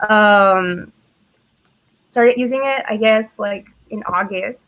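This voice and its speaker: A woman's fairly high voice with an American accent, very slow and fairly even in intonation. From Ciudad Juárez, Mexico (US border). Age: 20s. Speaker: webinar co-host. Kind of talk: casual webinar chat.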